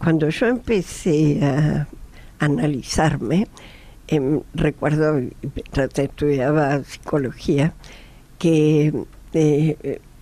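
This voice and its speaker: A woman's very deep, low pitch and dark, mellow tone at a very slow pace, with very even loudness, ordinary pitch variation, and long, frequent pauses. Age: 70s. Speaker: psychologist. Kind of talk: radio panel discussion.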